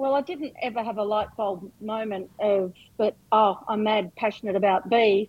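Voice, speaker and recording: With a rural Australian accent, a woman talks at a moderate pace, her fairly high pitch moving with ordinary variation. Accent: broad rural Australian. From rural New South Wales, Australia. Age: 50s. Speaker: farmer and hobby beekeeper. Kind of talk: casual interview chat.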